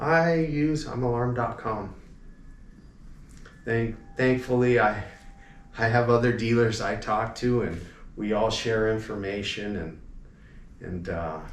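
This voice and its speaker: In a room with audible echo, a man with an American accent speaks fairly slowly at a medium pitch with ordinary pitch variation and long, frequent pauses. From Los Angeles area, California. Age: 60s. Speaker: alarm company owner. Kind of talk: interview. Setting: convention at a hotel.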